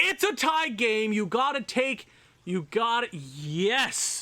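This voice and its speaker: A man's raised, projected voice moves very slowly through very wide pitch swings, sitting high for a man. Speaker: gaming YouTuber. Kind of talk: video game commentary. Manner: loud; animated.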